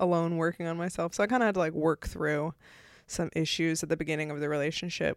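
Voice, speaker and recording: A woman at a fairly low pitch and very fast pace, in a dry, close sound with no echo, on a very clean recording with a silent background. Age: 30s. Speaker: comedian. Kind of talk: casual chat. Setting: filmed in person. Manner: laughs often.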